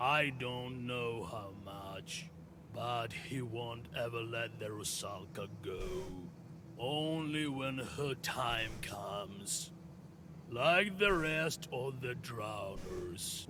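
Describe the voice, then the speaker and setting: Over loud background noise, a man puts on a character voice at a medium pitch and a very slow pace. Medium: solo performance.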